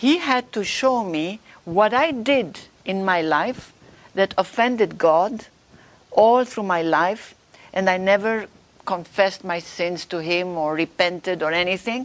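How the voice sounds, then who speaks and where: Over noticeable background noise, a woman with a non-native accent talks at a fairly slow pace, her intonation lively. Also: medium pitch for a woman. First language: not English. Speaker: author and religious speaker. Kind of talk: interview. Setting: live stream.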